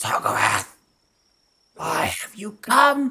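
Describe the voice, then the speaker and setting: This put-on character voice is high-pitched, shrill and raspy. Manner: imperious, demanding.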